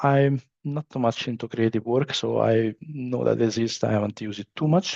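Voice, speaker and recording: A man speaks with an Italian accent at medium pitch and a moderate pace. His pitch variation is ordinary, and the sound is dry and close with no echo. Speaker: business trainer. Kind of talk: training session. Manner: halting, many fillers.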